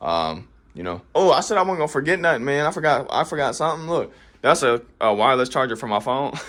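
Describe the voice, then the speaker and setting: A man speaks very fast in a fairly high voice with very wide swings in pitch and vocal fry. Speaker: gaming content creator. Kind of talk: casual setup tour.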